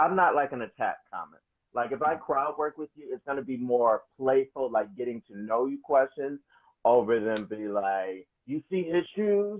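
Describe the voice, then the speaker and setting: In an American accent, a man with a plain, everyday voice speaks at a moderate pace and medium pitch, with lively intonation and big swings in loudness. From Wisconsin. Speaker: stand-up comedian. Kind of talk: casual interview.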